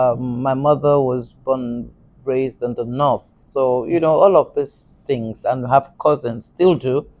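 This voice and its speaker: A woman with a Yoruba accent speaks at a fairly slow pace in a very deep, low pitch. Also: fairly even intonation. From Nigeria, Lagos (Apapa Road). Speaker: actress. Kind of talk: interview.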